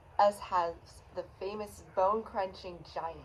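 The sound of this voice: Fairly even intonation in an unforced reading voice.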